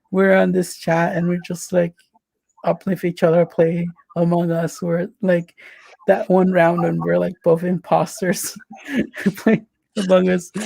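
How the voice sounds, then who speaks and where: Taking long, frequent pauses, a man with a high pitch speaks in monotone, flat intonation, with a dry, close sound and no echo. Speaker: podcast host. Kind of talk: casual chat. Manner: awkward, hesitant.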